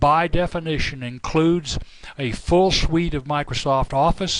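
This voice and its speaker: A man with an unremarkable speaking voice talks at a fairly slow pace. His pitch variation is ordinary. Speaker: software company representative. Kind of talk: product presentation.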